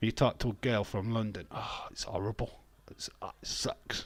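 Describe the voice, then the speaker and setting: A man speaks at a moderate pace with a strong Yorkshire accent. His pitch sits fairly low. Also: very clean recording, silent background. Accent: thick Yorkshire. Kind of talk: casual, slangy.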